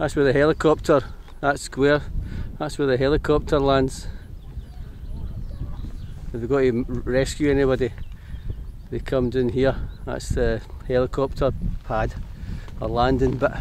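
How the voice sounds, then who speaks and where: Pausing long and often, a man speaks at a moderate pace in a monotone, flat way, with a dry sound, no echo and light background noise. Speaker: wild camping vlogger. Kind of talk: casual vlog chat. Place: open country. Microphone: phone near.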